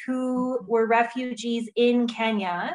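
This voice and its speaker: In a Wisconsin accent, a woman talks with a high pitch. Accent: Upper Midwest US (Wisconsin). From Wisconsin, US (Viroqua). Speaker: refugee program director. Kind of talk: interview.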